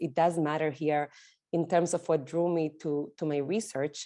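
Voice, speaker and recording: A woman with an Argentinian accent speaks at a fairly low pitch in a dark, mellow tone. Her pace is moderate, and the background is quiet. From Argentina. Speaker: sociologist. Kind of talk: lecture.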